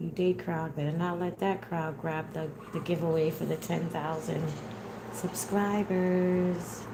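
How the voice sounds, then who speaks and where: Mumbling at a fairly slow pace, a woman with a fairly low pitch speaks in a flat monotone, with audible room echo and noticeable background noise. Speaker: wig maker streaming live. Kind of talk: casual live-stream chat while sewing. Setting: live stream. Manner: mumbles.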